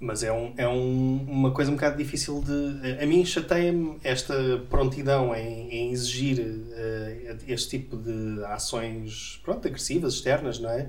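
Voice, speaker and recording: Hardly any pauses break the fairly slow, fairly even delivery, heard over noticeable background noise. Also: man, medium pitch for a man. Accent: European Portuguese. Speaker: podcast host. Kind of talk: casual satirical panel chat.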